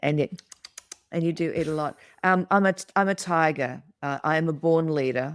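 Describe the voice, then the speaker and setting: A woman with an Australian accent speaks in a very deep, low voice. Her pace is moderate and her intonation fairly even. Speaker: podcast co-host, art deco expert. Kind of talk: casual chat. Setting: video call. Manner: halting with repeated words.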